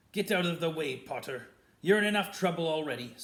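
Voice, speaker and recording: Growling in a put-on character voice, a man projects loudly at a high pitch and a fairly quick pace with ordinary pitch variation. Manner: snarling.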